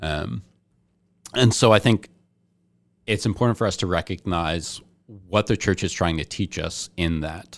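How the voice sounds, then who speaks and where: A man with an American accent speaks fairly slowly in a very deep, low voice with ordinary pitch variation, leaving long, frequent pauses. The recording is very clean with a silent background. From New Jersey. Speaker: seminarian. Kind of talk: casual chat.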